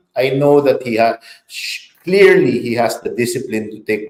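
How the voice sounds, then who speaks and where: At a fairly slow pace, a man's pitch shifts in an ordinary way in a normal speaking voice. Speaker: public relations consultant. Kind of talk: interview.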